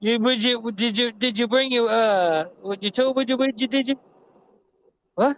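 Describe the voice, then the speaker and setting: Moderate pace in an American accent, with long, frequent pauses. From Texas. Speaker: livestreamer. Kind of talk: casual livestream chat.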